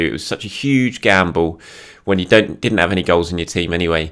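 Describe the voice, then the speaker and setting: Male speech, pitch varying in an ordinary way, set against a quiet background. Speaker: football fan vlogger. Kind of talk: commentary. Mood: frustrated, reflective. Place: home room. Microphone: phone near.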